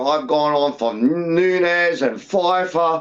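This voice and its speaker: A man with a high pitch talks in an Australian accent. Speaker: MMA podcast co-host. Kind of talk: casual chat. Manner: animated.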